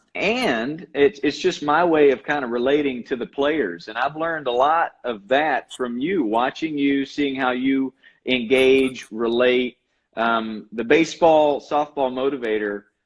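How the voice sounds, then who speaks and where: Speaking in a Carolina accent, a man uses a medium pitch with ordinary pitch variation at a fairly slow pace. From North Carolina, Asheboro. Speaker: baseball coach and motivator. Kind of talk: casual chat. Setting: Instagram live video stream.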